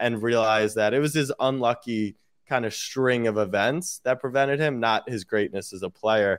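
In a very clean recording with a silent background, a man with an American accent speaks at a moderate pace at a medium pitch, his intonation fairly even, an unremarkable speaking voice. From US, Maryland (Baltimore). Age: 20s. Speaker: sports media entrepreneur. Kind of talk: casual chat.

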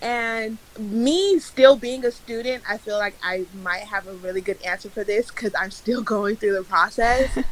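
A woman speaks at a moderate pace with hardly any pauses, her fairly high pitch varying in an ordinary way. Noticeable background noise runs underneath. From Nigeria. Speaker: occupational therapy student. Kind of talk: casual chat.

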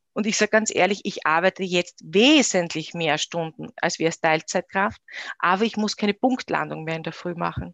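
A woman's fairly low voice with vocal fry, dry and close with no echo, over a quiet background. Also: ordinary pitch variation, moderate pace. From Austria, Styria. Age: 30s. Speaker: company founder. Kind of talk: interview.

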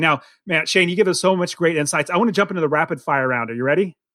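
In a very clean recording with a silent background, a man with a high pitch speaks with lively intonation. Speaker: podcast host. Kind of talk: interview. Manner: animated.

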